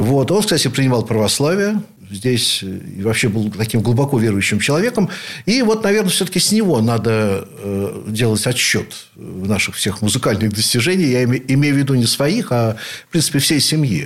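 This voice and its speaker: Against noticeable background noise, a man's medium-pitched voice moves through very wide pitch swings. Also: moderate pace. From Leningrad / St Petersburg, Russia. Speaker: rock keyboardist, composer and professor. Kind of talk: radio interview, reminiscing.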